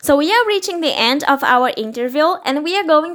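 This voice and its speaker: A woman's raised, projected voice sits at an extremely high pitch and moves in very wide pitch swings. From Brazil. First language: Portuguese. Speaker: podcast host. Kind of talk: casual interview. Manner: animated.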